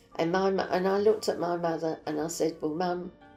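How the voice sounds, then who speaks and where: Against music in the background, a woman with a fairly low voice speaks at a moderate pace with fairly even intonation. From East End London. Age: 80s+. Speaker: war survivor. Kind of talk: interview answer.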